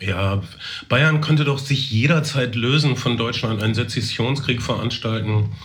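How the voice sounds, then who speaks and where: A man speaks at a fairly slow pace, medium in pitch with ordinary pitch variation and very even loudness. Audible room echo and noticeable background noise surround him. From East Westphalia, Germany. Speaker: podcast host. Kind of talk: casual chat.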